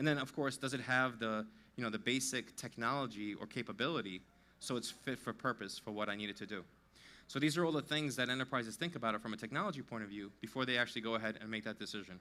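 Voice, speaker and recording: A man with a New York accent, very fast, his tone bright and sharp. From US Northeast, New York. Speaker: tech company CTO. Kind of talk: conference talk.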